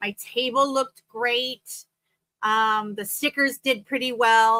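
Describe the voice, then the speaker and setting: In a dry, close recording with no echo, a woman with a high pitch and a bright, sharp tone sounds animated, speaking at a fairly slow pace with ordinary pitch variation. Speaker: craft vendor and show host. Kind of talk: casual chat. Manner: loud.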